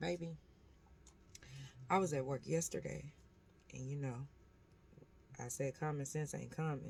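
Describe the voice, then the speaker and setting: A soft-spoken woman at a moderate pace, with long, frequent pauses. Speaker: vlogger. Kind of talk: casual vlog monologue. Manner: quiet, soft-spoken.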